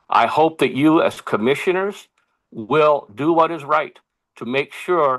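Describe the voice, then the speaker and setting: An unremarkable speaking voice belongs to this man, who uses lively intonation. The sound is dry and close with no echo. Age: 60s. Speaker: public testifier, election volunteer. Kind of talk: public testimony. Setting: public commission meeting.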